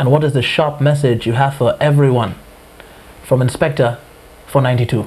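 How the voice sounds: At a moderate pace, a man talks at medium pitch with a slightly mellow tone and fairly even intonation.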